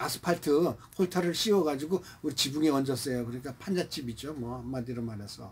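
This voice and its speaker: This man talks at a fairly quick pace in a fairly high, somewhat breathy voice with ordinary pitch variation. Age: 70s. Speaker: painter. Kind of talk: personal life story told to camera. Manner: casual, conversational.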